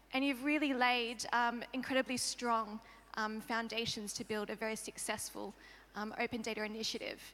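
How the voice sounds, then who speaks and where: The speaker has an Australian accent and a monotone, flat intonation. The pace is moderate. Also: woman, fairly high pitch for a woman. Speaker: open data expert, panel guest. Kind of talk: panel discussion. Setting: conference stage with audience.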